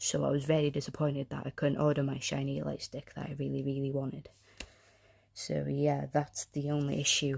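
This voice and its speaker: Speaking at a fairly quick pace in a North Welsh accent, a woman is heard on a very clean recording with a silent background. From North Wales (Anglesey). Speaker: podcaster. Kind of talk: casual monologue podcast. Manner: hesitant, many fillers.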